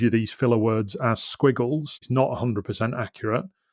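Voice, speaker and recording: The recording of this medium-pitched man is very clean, with a silent background. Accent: Yorkshire. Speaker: business podcast host. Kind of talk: solo podcast monologue. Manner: uses ums and ahs when speaking live.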